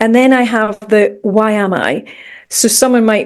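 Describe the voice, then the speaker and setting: With a Scottish accent, a woman speaks at a fairly high pitch and with fairly even intonation. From Scotland, Edinburgh. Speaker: mindset coach and meditation teacher. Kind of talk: podcast interview.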